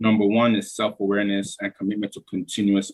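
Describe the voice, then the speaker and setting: Here a man talks at a moderate pace in an ordinary speaking voice. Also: dry, close sound with no echo. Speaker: entrepreneur. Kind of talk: conference talk.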